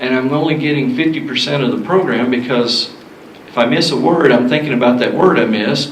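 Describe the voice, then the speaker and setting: A man talks fairly quickly in a Southern US accent, with audible room echo and noticeable background noise. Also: medium pitch for a man, ordinary pitch variation. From US South. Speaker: sound system technician. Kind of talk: seminar talk.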